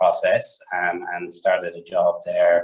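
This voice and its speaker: This is a man speaking. He has an Irish accent. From Ireland. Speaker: market maker, finance partner. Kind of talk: interview. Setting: video call.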